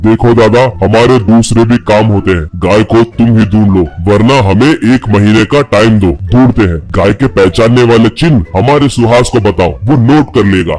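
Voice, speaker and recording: A man uses a cartoonish character voice at a medium pitch with ordinary pitch variation, while clear music plays in the background. He keeps a moderate pace with very even loudness and hardly any pauses. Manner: brusque, condescending.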